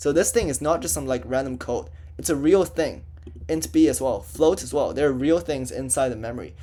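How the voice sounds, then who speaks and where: A dark, mellow voice with vocal fry moves at a fairly quick pace through very wide pitch swings, with audible room echo. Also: man, medium pitch for a man. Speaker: student tutor teaching programming. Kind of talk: lecture. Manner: casual, filler-heavy.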